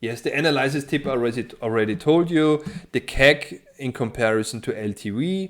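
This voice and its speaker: With a non-native accent, a man speaks at medium pitch and a moderate pace with lively intonation on a very clean recording with a silent background. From Austria. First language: German. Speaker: financial modeling tutor. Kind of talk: tutorial. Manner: hesitant, many fillers.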